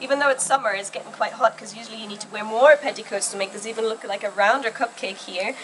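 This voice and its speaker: A woman's fairly high voice at a very fast pace with hardly any pauses, fairly even intonation, big swings in loudness, and noticeable background noise. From Germany. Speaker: fashion YouTuber. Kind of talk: interview. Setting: outdoors.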